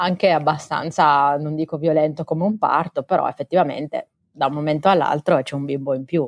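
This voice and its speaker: Against a quiet background, a woman talks at a fairly quick pace. Her pitch is very deep and low, and her intonation is fairly even. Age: 30s. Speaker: foster mother, car insurance assessor. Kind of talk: interview testimony. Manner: hesitant, many fillers.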